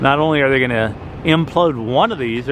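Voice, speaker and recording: There is noticeable background noise as a man speaks fairly quickly at a medium pitch with ordinary pitch variation. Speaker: travel vlogger. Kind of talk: walking vlog narration. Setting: outdoors.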